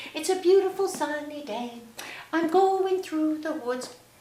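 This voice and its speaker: A high-pitched, put-on character voice speaks at a moderate pace. A slight echo is audible. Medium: read story.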